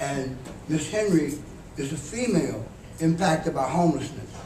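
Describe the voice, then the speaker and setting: Noticeable background noise and audible room echo fill the recording. A man speaks at a moderate pace with a fairly high pitch. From New York City (Harlem), Southern roots. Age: 70s. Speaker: homeless advocate, panelist. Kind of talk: panel talk. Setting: conference panel with audience.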